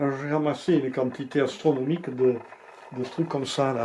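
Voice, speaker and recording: Over noticeable background noise, a man talks at a moderate pace in a medium pitch with flat, monotone intonation. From Lozère, France. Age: 70s. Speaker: sculptor. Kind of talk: interview answer. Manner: hesitant.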